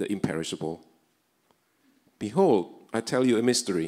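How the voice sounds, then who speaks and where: The pace is moderate. A man talks against a quiet background. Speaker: scripture reader at service. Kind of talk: scripture reading. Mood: solemn, earnest. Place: church. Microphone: handheld.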